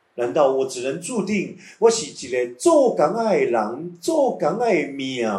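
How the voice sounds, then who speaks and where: There is audible room echo as a man speaks at a very slow pace with hardly any pauses, his high pitch swinging very widely. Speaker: meditation teacher. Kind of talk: guided meditation.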